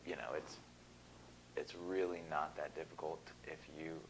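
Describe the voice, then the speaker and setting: A man whispering over noticeable background noise. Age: 20s. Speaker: hair restoration patient. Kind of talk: patient testimonial.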